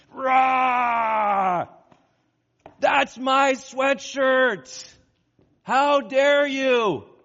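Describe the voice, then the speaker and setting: A put-on character voice shouts and growls at a high pitch. It moves at a very slow pace with long, frequent pauses. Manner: angry, growling, raging.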